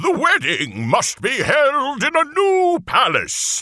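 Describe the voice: In a put-on character voice, a man talks slowly at an extremely high pitch, with a bright, sharp tone and very wide pitch swings.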